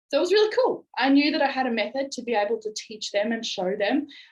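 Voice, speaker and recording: The speaker uses an animated tone at a moderate pace. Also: woman. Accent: strong Australian. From Australia. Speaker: network marketing business leader. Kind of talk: motivational presentation.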